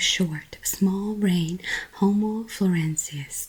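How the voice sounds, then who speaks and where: Softly spoken at a very slow pace, a woman's gentle voice carries ordinary pitch variation over noticeable background noise. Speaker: ASMR creator. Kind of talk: soft-spoken book reading for sleep. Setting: close-mic home recording. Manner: soft, gentle, relaxing.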